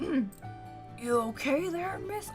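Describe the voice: A put-on character voice, female-sounding, over clear music in the background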